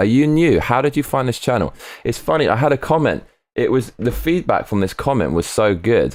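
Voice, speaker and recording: The recording is very clean and the background silent. Speech moves at a fairly quick pace. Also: man. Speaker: live streamer. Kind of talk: live stream chat reading comments. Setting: live stream. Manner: excitable.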